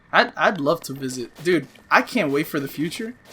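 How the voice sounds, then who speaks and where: With vocal fry in his voice, a man speaks using ordinary pitch variation. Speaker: gaming let's play youtuber. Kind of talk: gameplay commentary. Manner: animated; fast.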